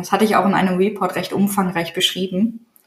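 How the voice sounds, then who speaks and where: A woman talks at a fairly quick pace in a plain, everyday voice. Her pitch sits in the medium range. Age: 30s. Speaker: digital agency owner and niche site builder. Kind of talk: interview.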